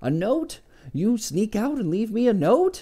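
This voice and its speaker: Putting on a character voice, a man speaks high in pitch with very wide pitch swings and audible hissing. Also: moderate pace. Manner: hissing, angry.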